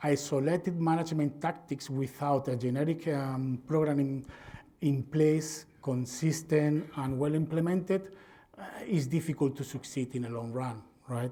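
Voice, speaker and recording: Somewhat breathy and dark, mellow in tone, this man's voice sits at a fairly high pitch and carries a Spanish accent, moving at a moderate pace with fairly even intonation. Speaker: veterinarian and swine industry presenter. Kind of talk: conference presentation.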